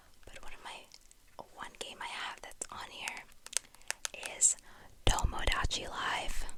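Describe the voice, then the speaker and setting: A whisper carries the words. Background noise is noticeable throughout. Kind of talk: ASMR whispered talk to camera. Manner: whispered, rambling, casual.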